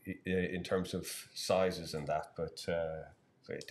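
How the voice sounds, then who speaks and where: A man speaks with an Irish accent. His pitch is very deep and low. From Ireland. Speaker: angler and live-stream commentator. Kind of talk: live commentary. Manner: halting, many repeated words.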